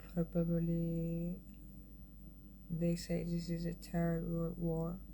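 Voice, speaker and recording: Speech at a very slow pace carries audible room echo. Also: woman. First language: Farsi. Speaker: artist and designer. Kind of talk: casual livestream chat. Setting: Instagram live stream. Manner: halting.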